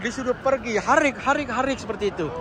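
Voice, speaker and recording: Over crowd noise in the background, a man speaks in an animated tone with a raised, projected voice, the sound dry with no echo. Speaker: vlogger. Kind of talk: travel vlog. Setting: outdoors. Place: street. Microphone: phone near.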